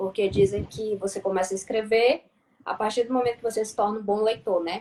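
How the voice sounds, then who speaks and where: Delivered at a fairly quick clip, this voice carries a dark, mellow tone. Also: woman, fairly high pitch for a woman. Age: 30s. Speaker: journalism student and writer. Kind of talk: casual live-stream chat. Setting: online live stream.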